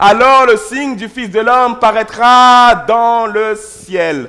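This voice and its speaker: A raised, projected voice with a bright, sharp tone. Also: man. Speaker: pastor. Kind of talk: sermon. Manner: loud.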